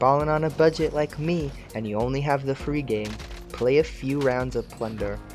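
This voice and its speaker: Moderately paced speech over background music. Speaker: gaming tutorial creator. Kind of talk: scripted tutorial narration.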